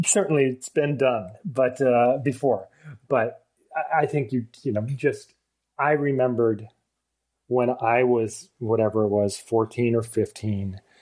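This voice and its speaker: With an unremarkable speaking voice and an American accent, a man talks at a fairly slow pace and medium pitch, keeping very even loudness and ordinary pitch variation. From Vermont, US. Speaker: film director. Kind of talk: casual chat.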